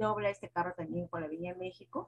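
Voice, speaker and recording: A woman's fairly low, somewhat breathy voice at a fairly quick pace, with ordinary pitch variation, over a quiet background. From Peru. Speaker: schoolteacher; teacher in training session. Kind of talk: presentation. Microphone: video call.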